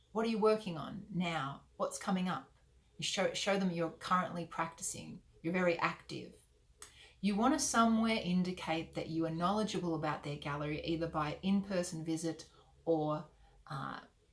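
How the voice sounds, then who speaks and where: A woman with an Australian accent has a somewhat breathy voice. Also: fairly low pitch for a woman, ordinary pitch variation. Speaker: artist mentor. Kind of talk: tutorial. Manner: fast.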